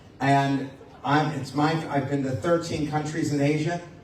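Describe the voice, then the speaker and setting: A man's fairly high, monotone and flat voice at a moderate pace, with noticeable background noise and audible room echo. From United States. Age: 60s. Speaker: motivational speaker and lecturer. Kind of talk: public talk to an audience.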